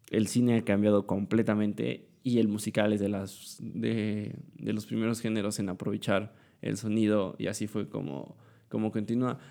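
A dark, mellow tone at a fairly slow pace with ordinary pitch variation. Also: man. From Mexico, Puebla. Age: young. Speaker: student podcaster. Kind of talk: casual monologue. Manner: halting, many fillers.

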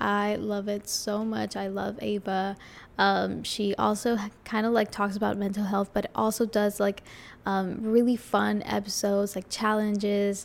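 Medium-pitched woman's voice at a fairly slow pace. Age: 20s. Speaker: podcast host. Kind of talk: casual chat. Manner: animated.

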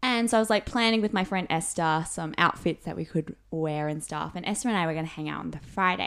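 With an Australian accent, a woman with a fairly low voice talks at a very fast pace, with hardly any pauses and ordinary pitch variation. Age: 20s. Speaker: university student. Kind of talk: casual chat.

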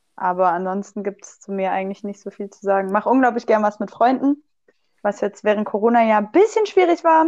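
A woman with a slight Swabian accent speaks at a medium pitch, her intonation lively. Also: fairly quick pace. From Swabia, southwestern Germany. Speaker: physiotherapist and student athlete. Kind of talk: casual chat.

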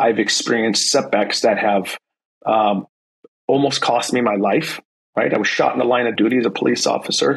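With an American accent and a plain, everyday voice, a man speaks at a moderate pace and medium pitch, with ordinary pitch variation and very even loudness. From US, San Francisco Bay Area. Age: 40s. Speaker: police sergeant. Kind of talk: casual interview.

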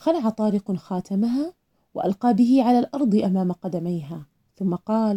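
The pitch moves with ordinary variation while the text is read aloud in a natural voice. Nothing stirs in the quiet background.

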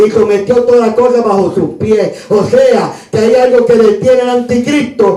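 With music in the background and audible room echo, a man with a Puerto Rican accent talks at a fairly slow pace with an extremely high pitch. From Puerto Rico (Río Piedras, San Juan). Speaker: pastor. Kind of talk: sermon. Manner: animated.

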